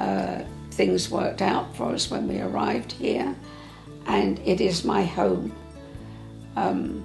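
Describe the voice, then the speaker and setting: Clear music sits in the background. Over it, a woman talks at a fairly slow pace. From England. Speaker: interviewee. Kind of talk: interview answer. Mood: warm, reminiscing. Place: home room. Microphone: lapel.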